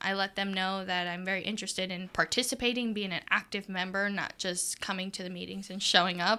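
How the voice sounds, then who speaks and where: A woman with an American accent talks at a fairly quick pace with hardly any pauses, her tone bright and sharp and her intonation monotone and flat. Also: medium pitch for a woman. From US Midwest, Adrian, Michigan. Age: 20s. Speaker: podcast guest. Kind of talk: interview conversation.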